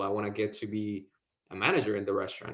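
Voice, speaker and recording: A man speaks in a Mexican accent. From Mexico, Veracruz. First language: Spanish. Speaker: insurance sales agent. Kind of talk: interview.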